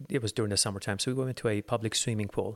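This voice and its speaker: On a very clean recording with a silent background, a man with an American accent has an unremarkable speaking voice, a fairly low pitch and fairly even intonation. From Los Angeles, US. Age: 40s. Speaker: falconer and bird breeder. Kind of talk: casual interview.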